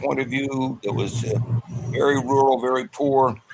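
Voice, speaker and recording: Moderately paced speech over noticeable background noise. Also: man. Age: 80s+. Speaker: elementary school teacher. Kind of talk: panel discussion.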